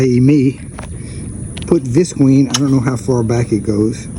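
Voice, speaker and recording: A man talks at a moderate pace with a fairly high pitch. Noticeable background noise can be heard. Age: 70s. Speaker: builder / DIY video maker. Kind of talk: work narration on a roof. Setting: outdoors on a roof. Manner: casual, thinking aloud.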